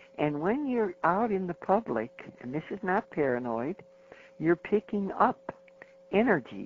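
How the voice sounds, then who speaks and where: A woman with a fairly low voice swings her pitch very widely over noticeable background noise. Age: 80s+. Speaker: contest winner and author. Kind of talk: interview.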